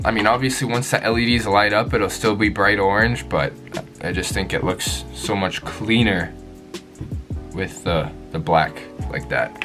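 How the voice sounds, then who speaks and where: Music plays behind a man with a fairly low voice. He speaks at a moderate pace with lively intonation. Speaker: motorcycle vlogger. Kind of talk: casual unboxing talk to camera. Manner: stuttering, rambling.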